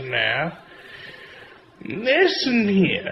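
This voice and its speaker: A man puts on a character voice, pitched high, with very wide pitch swings. He delivers it at a very slow pace. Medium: machinima. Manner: drawling, folksy.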